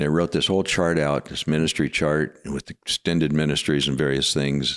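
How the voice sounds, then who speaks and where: Talking at a fairly quick pace, a man with an American accent has a very deep, low pitch and monotone, flat intonation. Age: 60s. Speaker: pastor. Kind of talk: testimony.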